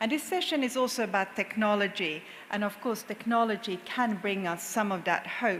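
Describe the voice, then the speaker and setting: In a Finnish accent, the speaker keeps fairly even intonation, with audible room echo. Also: woman. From Finland. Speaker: corporate sustainability executive, panel speaker. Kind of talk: conference panel talk.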